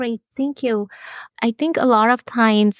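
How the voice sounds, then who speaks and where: A woman with an Indian accent at a moderate pace, ordinary pitch variation, a dry, close sound with no echo, and a very clean recording with a silent background. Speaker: physician researcher. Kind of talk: interview.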